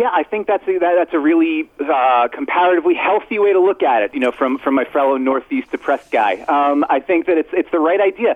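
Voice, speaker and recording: A man with an American accent speaks at a fairly quick pace with hardly any pauses, his pitch high and his intonation lively. His loudness stays very even, and there is noticeable background noise. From Brooklyn, New York. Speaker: basketball writer. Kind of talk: radio sports interview.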